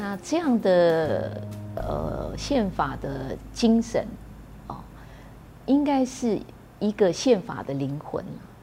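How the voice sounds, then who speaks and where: Music is playing in the background. Over it, a woman talks. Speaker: columnist and activist. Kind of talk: interview.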